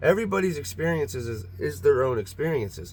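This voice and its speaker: In a very clean recording with a silent background, a man of medium pitch speaks in a somewhat breathy voice. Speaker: video blogger about Bigfoot encounters. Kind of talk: casual monologue to camera. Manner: fast; halting, many repetitions.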